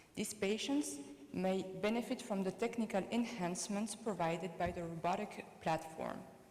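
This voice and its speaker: A woman speaks at a medium pitch with ordinary pitch variation, with noticeable background noise and audible room echo. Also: moderate pace. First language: French. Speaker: colorectal surgeon. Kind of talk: conference presentation.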